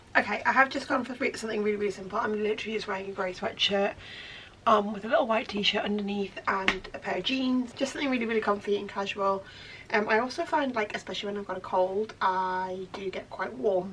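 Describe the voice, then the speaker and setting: A woman with a British accent speaks at a very fast pace and medium pitch. Her pitch variation is ordinary, and there is noticeable background noise. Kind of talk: casual vlog talk to camera. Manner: relaxed, chatty.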